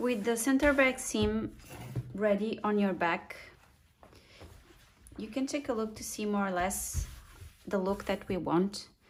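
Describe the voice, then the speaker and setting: A woman with a non-native accent speaks at a medium pitch and a fairly slow pace, her voice somewhat breathy, with ordinary pitch variation and long, frequent pauses. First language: not English. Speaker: sewing instructor. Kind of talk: tutorial. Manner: halting, many fillers.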